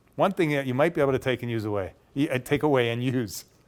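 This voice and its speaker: Speaking very fast with an ordinary range of pitch, a man talks in a Canadian accent. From Canada. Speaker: professional speaker. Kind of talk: conference workshop discussion. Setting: conference session with audience. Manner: informal.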